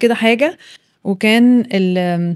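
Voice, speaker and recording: With an Egyptian accent, a woman talks at a very slow pace with ordinary pitch variation. The sound is dry and close with no echo. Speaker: psychologist podcast co-host. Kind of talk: casual chat.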